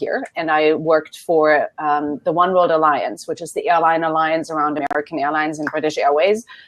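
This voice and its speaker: A woman with a German accent. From Germany. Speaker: business consultant. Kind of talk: interview.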